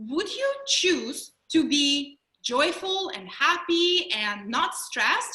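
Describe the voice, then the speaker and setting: In a Russian accent, a woman with an extremely high pitch and a bright, sharp tone speaks at a very slow pace in a raised, projected voice with very wide pitch swings. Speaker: mindfulness trainer and mental health speaker. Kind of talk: webinar presentation.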